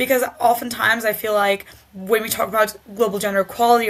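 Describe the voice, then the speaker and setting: Noticeable background noise sits under speech delivered with fairly even intonation. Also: woman. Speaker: gender equality advocate. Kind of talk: interview. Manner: halting, many fillers.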